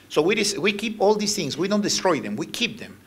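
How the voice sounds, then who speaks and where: Over noticeable background noise and audible room echo, a man with a high pitch speaks with a non-native accent. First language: Spanish. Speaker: ambassador giving a lecture. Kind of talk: lecture with slides. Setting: university lecture hall with audience. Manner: halting.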